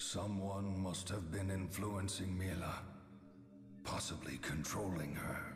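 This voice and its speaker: A man puts on a cartoonish character voice with a very deep, low pitch, speaking at a fairly slow pace. Loud background noise and a clear echo fill the recording. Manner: archaic, grave.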